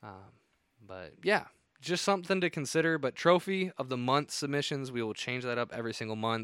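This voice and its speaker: A man with a Midwestern American accent speaks fairly quickly at medium pitch. His intonation is lively, with big swings in loudness. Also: very clean recording, silent background. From northern Indiana. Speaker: podcast host, deer hunter. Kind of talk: solo podcast monologue.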